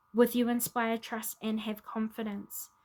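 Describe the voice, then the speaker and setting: Her voice fairly high and somewhat breathy, a woman speaks at a moderate pace with flat, monotone intonation. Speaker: tarot reader. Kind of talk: spiritual card reading to camera.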